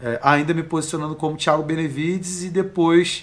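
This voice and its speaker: A man is speaking. His voice is high-pitched. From Brazil, Rio de Janeiro (Baixada Fluminense). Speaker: life coach. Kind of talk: casual interview chat.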